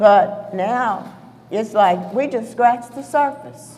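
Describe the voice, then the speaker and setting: Over music in the background, a woman talks at a very slow pace with a medium pitch. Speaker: civil rights marcher. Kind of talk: panel discussion.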